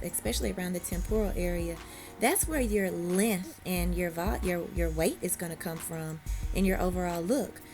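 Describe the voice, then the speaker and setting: A woman talks at a moderate pace in a Southern US accent. Music plays in the background. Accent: Southern US country. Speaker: hairstylist. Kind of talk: hair tutorial talk to camera. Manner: casual, friendly.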